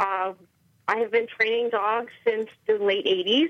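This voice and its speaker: A woman with an American accent speaks at a fairly high pitch with ordinary pitch variation. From Chicago suburbs, US Midwest. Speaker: dog trainer and business owner. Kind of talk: radio interview.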